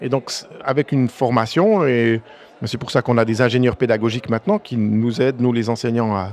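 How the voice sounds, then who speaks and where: A man speaks at a moderate pace with a medium pitch. His intonation stays fairly even over noticeable background noise. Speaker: math teacher, association president. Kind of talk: podcast interview. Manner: hesitant, many fillers and restarts.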